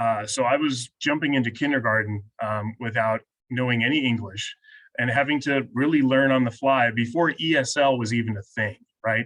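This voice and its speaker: The man's voice has a medium pitch and moves at a moderate pace. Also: fairly even intonation, quiet background. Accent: American. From Venezuela, then US from age six. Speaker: university diversity administrator. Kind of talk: panel discussion. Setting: video call. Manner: halting, repeats words.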